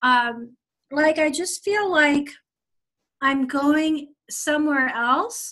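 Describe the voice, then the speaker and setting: A woman uses a raised, projected voice with a bright, sharp tone. Her pitch variation is ordinary. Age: 60s. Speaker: caller getting a psychic reading. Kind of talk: casual chat. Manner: halting.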